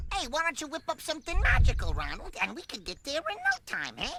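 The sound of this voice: A cartoonish character voice sits at an extremely high pitch. It races along at a very fast pace.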